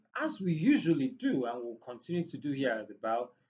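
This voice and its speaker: Speaking with a Nigerian accent, a man has a fairly high pitch and a dark, mellow tone. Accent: Nigerian English, Igbo. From Nigeria, Igbo. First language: Igbo. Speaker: podcast host. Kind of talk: casual educational talk.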